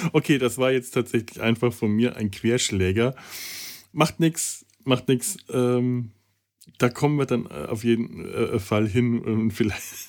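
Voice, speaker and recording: Captured in a very clean recording with a silent background, a man at a medium pitch speaks at a very slow pace with ordinary pitch variation. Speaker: podcast host. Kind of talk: casual chat. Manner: halting.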